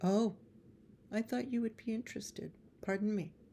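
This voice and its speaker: A woman puts on a character voice. She talks at a moderate pace. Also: fairly high pitch for a woman. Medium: read story. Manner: prying.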